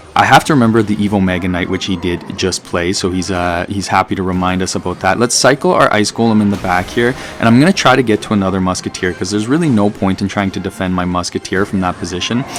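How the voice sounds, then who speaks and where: Backed by music, a man with a slight Canadian accent and a fairly low pitch talks at a very fast pace with hardly any pauses. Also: ordinary pitch variation. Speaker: mobile game YouTuber. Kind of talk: gameplay commentary. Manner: animated.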